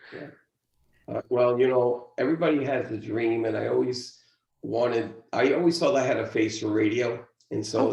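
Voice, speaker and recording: A man with an American accent speaks at a moderate pace. His pitch is medium, with ordinary variation. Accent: New York Italian, Brooklyn. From Brooklyn, New York.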